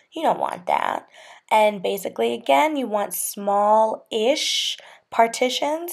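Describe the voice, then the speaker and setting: A woman at a very slow pace against a quiet background. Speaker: hair care vlogger. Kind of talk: tutorial. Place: home room.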